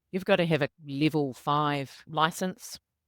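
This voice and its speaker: Dry, close and with no echo, this very clean recording over a silent background has a woman with a New Zealand accent speaking very deep and low. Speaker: corporate people and culture director. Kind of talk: podcast interview.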